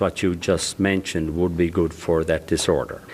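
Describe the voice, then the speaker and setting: A man speaks at a moderate pace with fairly even intonation. Noticeable background noise is present. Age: 70s. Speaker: chronic pain support group member. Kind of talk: radio interview.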